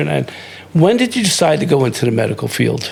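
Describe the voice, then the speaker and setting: A man rattles along at a very fast pace against noticeable background noise. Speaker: podcast host. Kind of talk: interview conversation.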